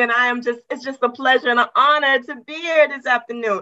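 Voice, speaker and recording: Using a raised, projected voice, a woman with high pitch and a bright, sharp tone talks fairly quickly with fairly even intonation. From West Virginia, US. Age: 50s. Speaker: retired government worker, women's coach. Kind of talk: interview podcast. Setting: video call.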